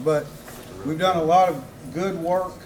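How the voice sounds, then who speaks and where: With a South Mississippi accent, a man talks at a fairly quick pace in monotone, flat intonation, with audible room echo and noticeable background noise. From US South, South Mississippi. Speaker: city council member and former school principal. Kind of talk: campaign speech. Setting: political rally with audience.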